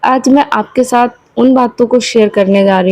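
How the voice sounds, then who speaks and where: The woman's voice shows ordinary pitch variation. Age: 20s. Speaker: homemaker vlogger. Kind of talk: casual vlog talk. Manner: hesitant fillers.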